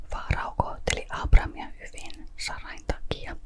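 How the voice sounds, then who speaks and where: Whispered at a very slow pace. Background noise is noticeable. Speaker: ASMR Bible reader. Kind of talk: Bible reading, ASMR-style. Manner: quiet, whispered.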